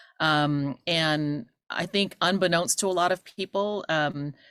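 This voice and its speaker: In a Cantonese accent, a woman speaks with a very deep, low pitch and ordinary pitch variation. The sound is dry and close, with no echo. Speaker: university administrator. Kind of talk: welcome speech. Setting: video call. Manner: hesitant, many fillers.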